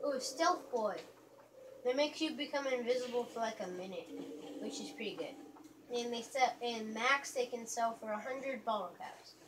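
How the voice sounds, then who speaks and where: Light background noise behind speech at a moderate pace. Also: woman. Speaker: gamer filming own play. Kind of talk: gameplay commentary. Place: home room. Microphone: phone near.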